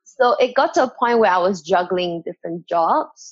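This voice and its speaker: At a moderate pace, the speaker uses a normal speaking voice. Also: woman. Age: 20s. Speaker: dance coach. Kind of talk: interview.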